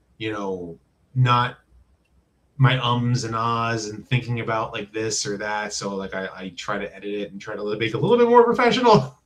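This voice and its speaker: An American-accented man with an ordinary speaking voice, medium pitch, fairly even intonation, moderate pace and big swings in loudness. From New Jersey. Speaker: YouTuber, toy reviewer. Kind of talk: casual interview chat.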